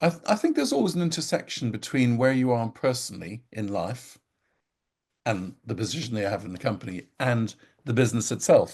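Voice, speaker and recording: A man with a medium pitch, somewhat breathy and at a fairly quick pace, against a quiet background. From Ireland and abroad (Africa, Asia, Caribbean). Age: 60s. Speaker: company founder and CEO. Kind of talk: interview.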